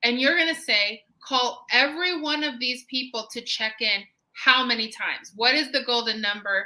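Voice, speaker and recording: A high-pitched woman's voice, bright and sharp, with ordinary pitch variation and hardly any pauses. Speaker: home staging business coach. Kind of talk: live-streamed business talk. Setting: live stream. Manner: deliberately slow.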